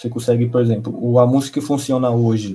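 Delivered at a fairly quick pace, the speech carries a dark, mellow tone. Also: man. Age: 20s. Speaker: DJ and music producer. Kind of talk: casual chat.

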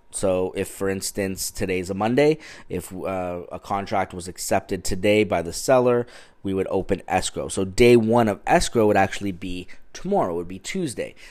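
With a Canadian accent, a man uses a normal speaking voice, fairly low in pitch with ordinary pitch variation and a moderate pace, on a very clean recording with a silent background. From Ontario, Canada. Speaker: real estate agent, podcast host. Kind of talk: solo educational podcast. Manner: casual, many filler words.

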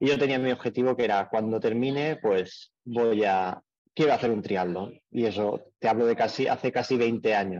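At a moderate pace, a man with an unremarkable speaking voice keeps his loudness very even, his medium pitch varying in an ordinary way. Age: 30s. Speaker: amateur triathlete and mechanic. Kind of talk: interview.

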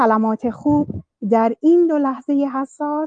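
A woman is speaking. Her pace is fairly slow. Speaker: podcast participant. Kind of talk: group discussion. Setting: online voice chat.

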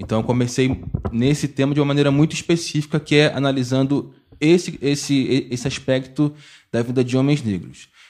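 An ordinary speaking voice from a man, medium in pitch, at a moderate pace with fairly even intonation, on a very clean recording with a silent background. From Baixada Fluminense, Rio de Janeiro. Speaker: geography teacher and researcher. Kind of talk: podcast panel discussion.

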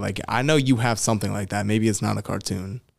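Here a man speaks at a fairly quick pace, with a fairly low pitch and ordinary pitch variation. It is an ordinary speaking voice on a very clean recording with a silent background. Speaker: podcast co-host. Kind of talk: casual chat.

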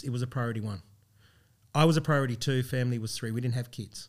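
With an Australian accent, a man speaks at a very fast pace. His pitch is medium, with ordinary variation. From Brisbane, Australia. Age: 40s. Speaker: coffee business founder. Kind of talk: interview storytelling.

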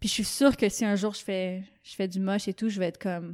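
With a normal speaking voice, a woman of medium pitch talks at a moderate pace with fairly even intonation on a very clean recording with a silent background. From Quebec. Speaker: painter. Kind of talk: casual chat. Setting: studio.

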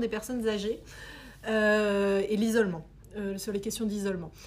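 This is a woman speaking. She goes at a moderate pace. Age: 30s. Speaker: program director. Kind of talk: interview. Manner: halting.

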